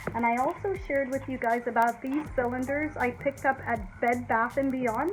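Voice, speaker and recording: Music plays in the background as a woman speaks. Her pitch is high, with ordinary pitch variation and a moderate pace. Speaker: DIY home decor YouTuber. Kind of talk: tutorial. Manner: warm, conversational.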